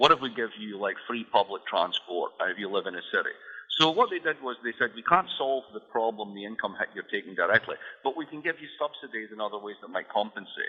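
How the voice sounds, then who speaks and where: A man with a Scottish accent talks at a fairly quick pace. His loudness swings widely. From Scotland. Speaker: economist and author. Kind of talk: interview. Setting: radio show.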